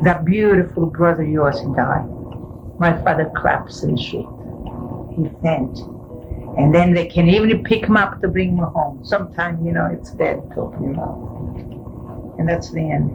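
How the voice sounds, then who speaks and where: Over music in the background and audible room echo, a woman with a fairly low pitch speaks at a moderate pace with ordinary pitch variation. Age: 80s+. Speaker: grandmother interviewee. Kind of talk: family oral history interview.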